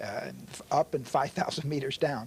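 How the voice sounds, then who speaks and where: With a somewhat breathy voice at a fairly high pitch, a man speaks at a moderate pace. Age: 70s. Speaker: interfaith organization president, mountain trekker. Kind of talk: casual interview chat.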